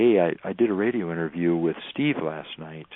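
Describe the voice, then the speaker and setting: In an American accent, a man speaks at a moderate pace with ordinary pitch variation. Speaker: wilderness teacher and tracker. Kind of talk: radio interview.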